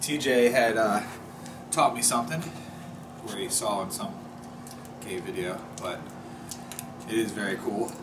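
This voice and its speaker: A man talks at a fairly slow pace, pausing often and at length, with noticeable noise in the background. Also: ordinary pitch variation. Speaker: outdoor camping vlogger. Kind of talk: casual vlog chat. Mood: calm, reflective.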